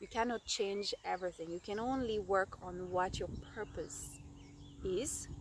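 A woman's warm tone at a fairly slow pace, with ordinary pitch variation, a dry sound with no echo and noticeable background noise. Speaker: storyteller. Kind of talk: storytelling, an improvised fairy-tale-style narration to the camera. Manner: halting, with frequent 'um' and 'uh' fillers as she makes up the tale; warm and affectionate, laughing and getting a bit emotional. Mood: animated, expressive. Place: open country. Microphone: phone near.

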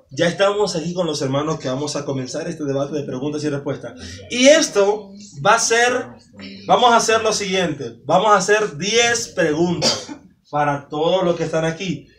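Lively intonation marks this man's moderately paced speech. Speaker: evangelist quiz host. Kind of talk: hosting a church quiz game. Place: home room. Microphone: camera far.

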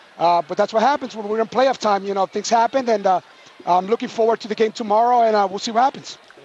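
Very fast and high-pitched, a man speaks with fairly even intonation in a dry, close sound with no echo, while noticeable background noise plays. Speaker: basketball coach. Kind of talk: post-game interview.

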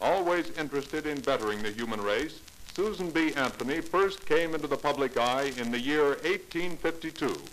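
A man's plain, everyday voice, fairly high in pitch with ordinary pitch variation, at a fairly quick pace over light background noise. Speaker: radio narrator. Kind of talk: educational radio drama narration. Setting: vintage radio recording, around 1950. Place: studio. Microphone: old recording.

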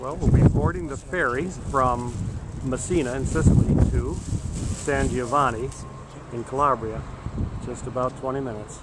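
A man at a moderate pace with long, frequent pauses, loud background noise, and dry sound with no echo. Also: ordinary pitch variation. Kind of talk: casual travel narration. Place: station. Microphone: phone near.

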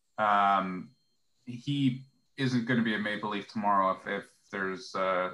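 In a Canadian accent, the voice has a bright, sharp tone and fairly even intonation. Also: man. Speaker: hockey blogger. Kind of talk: casual chat.

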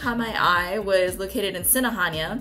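Faint background music behind a woman's voice at a moderate pace. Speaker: travel vlogger. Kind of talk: casual vlog chat. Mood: excited, upbeat. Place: home room.

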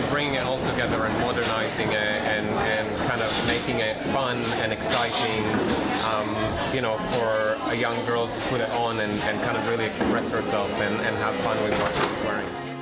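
At a moderate pace, a man talks while clear music plays behind him. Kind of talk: interview answer. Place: hall.

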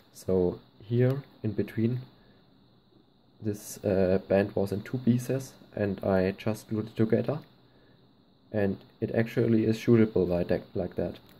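Speaking fairly slowly with long, frequent pauses, a man with a German accent has a fairly low pitch, a dark, mellow tone and fairly even intonation. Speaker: slingshot hobbyist. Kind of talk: casual tutorial talk to camera.

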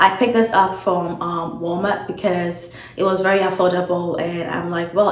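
Speaking at a moderate rate, a woman's voice carries audible room echo. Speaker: beauty content creator. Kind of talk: tutorial. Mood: friendly, upbeat. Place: home room. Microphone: phone near.

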